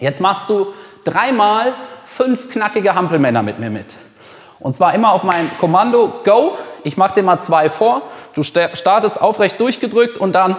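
A man at a fairly slow pace with long, frequent pauses and audible room echo. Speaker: fitness trainer. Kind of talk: workout instruction. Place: gym.

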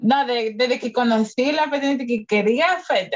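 A woman speaks at a fairly slow pace in a somewhat breathy voice with ordinary pitch variation. The background is quiet. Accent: Salvadoran. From El Salvador. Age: 20s. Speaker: skateboarder; podcast guest. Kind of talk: casual chat. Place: home room.

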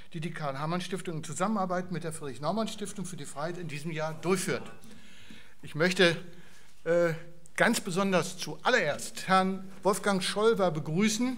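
With big swings in loudness, a man talks at a moderate pace in a high-pitched voice with ordinary pitch variation. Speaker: foundation chairman. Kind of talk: welcome speech at event. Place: hall.

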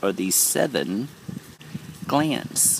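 A man at a very slow pace, with dry sound, no echo, and light background noise. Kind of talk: informal spiritual lecture. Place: garden. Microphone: phone near.

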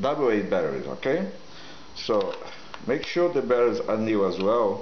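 A man speaks with a non-native accent. Light background noise and audible room echo are present. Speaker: product demonstrator. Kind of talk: product demo talk to camera. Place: kitchen. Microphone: camera far.

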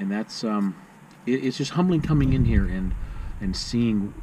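A dark, mellow tone moves at a fairly slow pace with lively intonation, and the room echo is audible. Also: man, fairly low pitch for a man.

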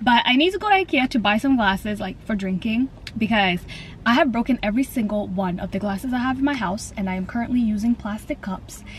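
A woman's very fast speech with ordinary pitch variation, a dry sound with no echo, and light background noise. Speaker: vlogger. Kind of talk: casual vlog chat.

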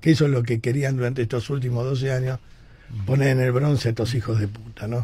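At a very fast pace, a man talks in a somewhat breathy, dark, mellow voice of medium pitch with monotone, flat intonation. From Argentina. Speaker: radio host. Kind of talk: radio editorial, opinionated rant. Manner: indignant, forceful. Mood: indignant, combative. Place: studio. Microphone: studio mic.

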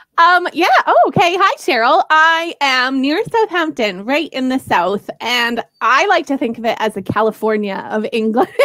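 Her voice is high-pitched, raised and projected, with very wide pitch swings. The woman keeps a moderate pace with hardly any pauses against a quiet background. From Canada. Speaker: ESL curriculum creator and former teacher. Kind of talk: interview conversation. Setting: video call from home in the UK. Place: home room. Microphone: headset.

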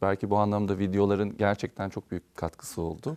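A man's fairly low, dark, mellow voice at a fairly quick pace, dry and close with no echo, against a quiet background. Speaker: opera singer. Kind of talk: TV interview.

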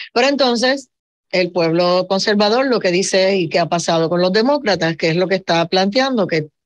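A normal speaking voice at a moderate pace over a quiet background. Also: woman. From Puerto Rico. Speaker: radio show host. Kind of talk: radio talk show moderation. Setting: radio studio broadcast. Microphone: video call.

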